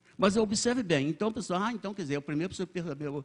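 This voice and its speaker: The intonation is lively. The background is quiet. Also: man. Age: 80s+. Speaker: church elder, lay preacher. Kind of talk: sermon. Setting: church service. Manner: halting, with many repetitions and self-corrections.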